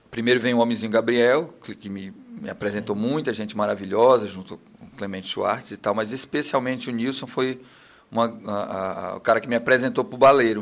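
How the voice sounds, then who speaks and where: Fairly quick and fairly even in intonation, a man talks at medium pitch in an ordinary speaking voice. His loudness swings widely. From Pará, Brazil (Capanema, Bragança). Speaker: songwriter and TV news presenter. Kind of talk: casual interview. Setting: studio, live video stream.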